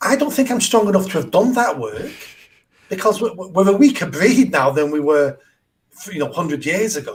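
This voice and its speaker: The pitch swings very widely from phrase to phrase. The voice carries a Mancunian accent. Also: man, high pitch for a man, moderate pace. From northern England, south Manchester. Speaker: charity founder and mayoral candidate. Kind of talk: podcast interview.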